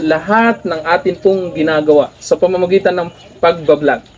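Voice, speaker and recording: A man at a high pitch, moderate pace and ordinary pitch variation. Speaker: vlogger, former teacher. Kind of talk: motivational talk.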